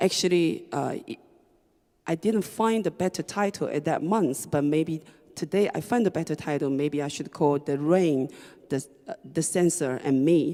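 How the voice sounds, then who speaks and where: A woman with a Chinese accent speaks at a fairly slow pace with a very deep, low pitch. Her tone is dark and mellow, and her pitch variation is ordinary. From China, Shanghai. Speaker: writer and DJ. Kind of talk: reading performance talk. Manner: halting, hesitant with fillers.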